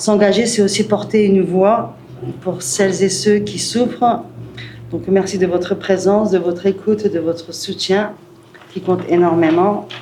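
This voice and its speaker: Over noticeable background noise and audible room echo, a woman with a medium-pitched voice speaks at a fairly slow pace with fairly even intonation. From northern France, Calais. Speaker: municipal election candidate. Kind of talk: prepared speech at press conference. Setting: press conference.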